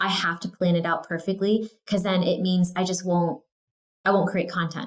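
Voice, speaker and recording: A woman talks in an American accent with an unremarkable speaking voice. Her medium pitch follows fairly even intonation. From California. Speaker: real estate agent. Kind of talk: casual interview. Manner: casual, filler words (um, like).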